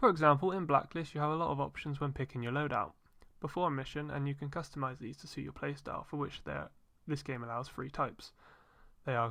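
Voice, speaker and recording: A fairly quick delivery with a British accent. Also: very clean recording, silent background. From Britain. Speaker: gaming YouTuber. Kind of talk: scripted review narration.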